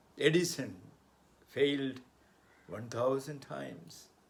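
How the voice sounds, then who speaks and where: A man talks with vocal fry. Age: 70s. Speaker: motivational speaker and author. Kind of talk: motivational talk.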